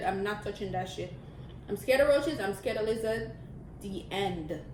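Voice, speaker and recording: A woman speaks with lively intonation at a fairly high pitch. Noticeable background noise and audible room echo are present. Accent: Jamaican. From Jamaica. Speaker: vlogger. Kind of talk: casual vlog talk.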